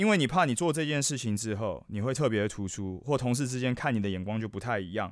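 In a very clean recording with a silent background, a man talks at a fairly quick pace with very wide pitch swings. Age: 40s. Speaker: podcast host. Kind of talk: casual solo podcast monologue. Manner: animated.

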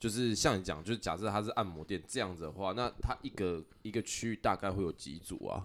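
A man talks at a fairly quick pace with hardly any pauses, his pitch fairly low. He has a normal speaking voice with ordinary pitch variation. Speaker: podcast host. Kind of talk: casual chat.

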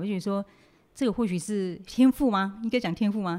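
Fairly quick speech from a woman, dark and mellow in tone, ordinary pitch variation, on a very clean recording with a silent background. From Taiwan, Nantou Atayal village. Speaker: makeup artist. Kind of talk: interview.

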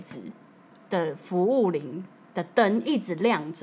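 Here a woman talks. Her pitch swings very widely. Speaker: flight attendant. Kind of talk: casual chat.

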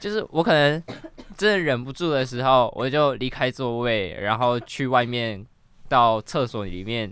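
At a fairly slow pace, a man talks in an ordinary speaking voice with a medium pitch and lively intonation. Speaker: guest standing in as host. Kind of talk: casual chat. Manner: joking, laughs often.

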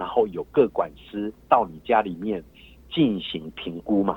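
A man speaks with very wide pitch swings. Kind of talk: phone interview. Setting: phone call. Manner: hesitant, many fillers.

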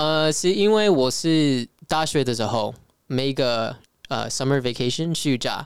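Here a man with an English accent speaks at a very slow pace. His pitch is fairly high, with ordinary variation. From California, US (Filipino-American). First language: English (speaking Chinese). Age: young. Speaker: traveler and Mandarin learner. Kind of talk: casual interview chat. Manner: halting, searching for words.

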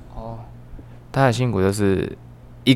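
A man speaks with a Vietnamese accent. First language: Vietnamese (speaking Chinese). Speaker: podcast guest. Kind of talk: casual chat.

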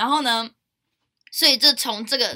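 On a very clean recording with a silent background, a woman with a Taiwanese accent speaks at a fairly high pitch in a bright, sharp tone with ordinary pitch variation. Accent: Taiwanese Mandarin. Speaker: university student podcast host. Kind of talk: casual chat.

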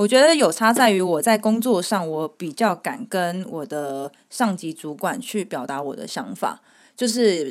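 Over a silent background in a very clean recording, a woman uses a normal speaking voice at medium pitch with lively intonation. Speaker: returned overseas student. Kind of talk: casual chat.

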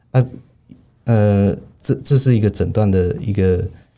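The man's voice is fairly low-pitched with a dark, mellow tone, moving at a fairly slow pace with ordinary pitch variation. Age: 40s. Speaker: cardiologist. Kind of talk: interview. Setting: studio. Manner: halting, with frequent fillers and repetitions.

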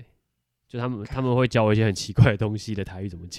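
A man with a coastal Taichung accent talks at a very fast pace in a fairly low pitch, on a very clean recording with a silent background. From Taiwan, Taichung. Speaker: podcast host. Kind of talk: casual chat.

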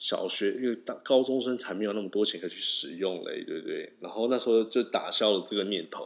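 Noticeable background noise sits behind this man. He speaks at a fairly quick pace with hardly any pauses. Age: 20s. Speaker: podcast host. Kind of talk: solo podcast monologue. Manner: halting.

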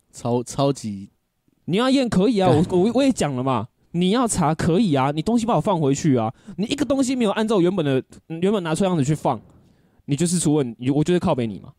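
At a fairly quick pace, a man with a high pitch and a dark, mellow tone makes very wide pitch swings. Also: dry, close sound with no echo. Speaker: podcast co-host. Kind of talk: casual chat. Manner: animated.

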